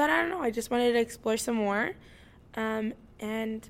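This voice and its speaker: Here a woman speaks with an American accent at a moderate pace. Her pitch is fairly high. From US Midwest, Indiana. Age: 20s. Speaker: podcast host. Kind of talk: casual solo podcast monologue.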